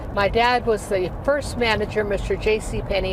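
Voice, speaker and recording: Someone with an American accent speaks at a moderate pace amid audible room echo and noticeable background noise. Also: woman. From New Mexico, US. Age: 80s+. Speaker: singer. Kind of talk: interview.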